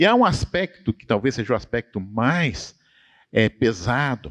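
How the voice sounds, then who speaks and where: A man speaks at a moderate pace with vocal fry and very wide pitch swings. The sound is dry and close with no echo, over a quiet background. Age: 60s. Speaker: professor. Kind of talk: church study conversation. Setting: church.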